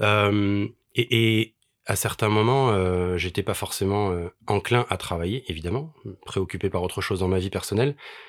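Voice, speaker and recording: Here is a plain, everyday voice with ordinary pitch variation. The recording is very clean, with a silent background. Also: man, fairly low pitch for a man, moderate pace. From Paris. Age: 40s. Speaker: charity association president and musician. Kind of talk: casual interview chat.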